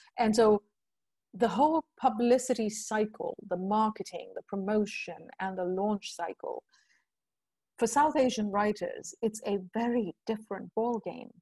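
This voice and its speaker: A woman's somewhat breathy voice, fairly high in pitch, with a dark, mellow tone. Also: dry, close sound with no echo. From India. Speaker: writer and translator. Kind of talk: interview.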